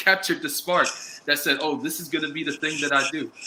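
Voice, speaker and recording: A man with an American accent speaks in a raised, projected voice at a fairly quick pace over noticeable background noise. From New York City (Bronx). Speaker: talk show host. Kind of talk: casual interview chat.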